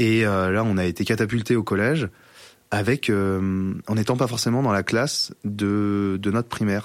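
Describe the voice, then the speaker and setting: A man's fairly low-pitched voice, with fairly even intonation and very even loudness. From French Alps, Grésivaudan valley near Grenoble. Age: 20s. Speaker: agricultural worker sharing school bullying experience. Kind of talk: personal testimony interview. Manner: halting, many repetitions and fillers.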